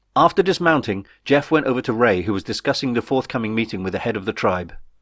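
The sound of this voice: A man talks at a fast pace. His pitch is medium and his tone fairly bright. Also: lively intonation.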